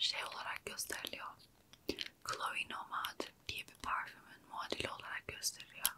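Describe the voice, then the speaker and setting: Loud background noise sits behind a woman who speaks at a fairly slow pace. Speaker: beauty vlogger. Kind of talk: casual vlog chat. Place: home room. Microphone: earbuds.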